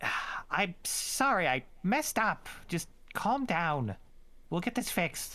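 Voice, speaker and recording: Putting on a squeaky character voice, a man talks at a fairly slow pace in a high pitch, with very wide pitch swings but very even loudness. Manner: apologetic, placating.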